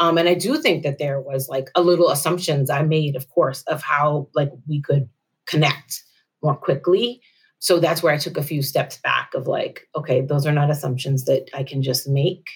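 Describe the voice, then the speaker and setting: Her very deep, low voice is somewhat breathy as the woman speaks at a moderate pace with fairly even intonation. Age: 40s. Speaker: nonprofit manager. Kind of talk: counseling session conversation.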